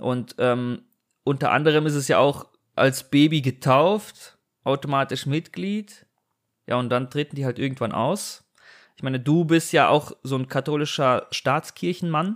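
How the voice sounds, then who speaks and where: Here is a man with an unremarkable speaking voice, pitched fairly high. He talks at a fairly slow pace with ordinary pitch variation. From Germany. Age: 30s. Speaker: podcast host. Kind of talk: casual chat. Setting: remote recording.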